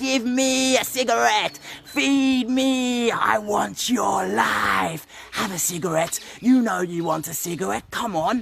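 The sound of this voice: A put-on character voice shouts at a fairly high pitch. The pace is fairly slow.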